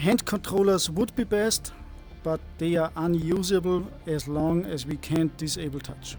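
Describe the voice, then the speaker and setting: Over music in the background, a man with a fairly high pitch speaks fairly slowly with fairly even intonation. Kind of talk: casual screen-recorded tutorial talk. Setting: headset microphone, crackling.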